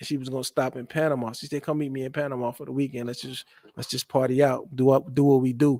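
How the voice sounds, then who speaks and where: A man's voice sounds dry and close, with no echo. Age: 40s. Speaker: stream guest boasting of dating life. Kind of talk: casual chat.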